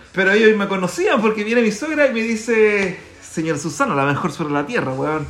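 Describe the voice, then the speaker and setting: The speech comes at a fairly quick pace with very wide pitch swings. Room echo is audible, along with noticeable background noise. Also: man, high pitch for a man. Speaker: podcast co-host. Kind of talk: casual chat. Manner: animated.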